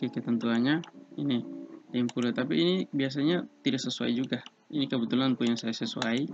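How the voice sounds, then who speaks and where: Over noticeable background noise, a man holds a medium pitch at a very even loudness. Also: ordinary pitch variation, fairly quick pace. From eastern Indonesia. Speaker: civil engineering student tutor. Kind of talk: tutorial. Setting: online screen recording.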